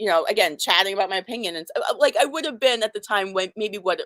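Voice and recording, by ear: Speech comes at a fast pace with a fairly bright tone and a dry, close sound with no echo. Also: woman, medium pitch for a woman, lively intonation.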